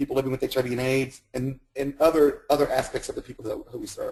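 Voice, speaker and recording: The man's voice has a dark, mellow tone and a fairly high pitch. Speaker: health center administrator. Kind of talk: webinar presentation. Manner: fast; halting, repeats words.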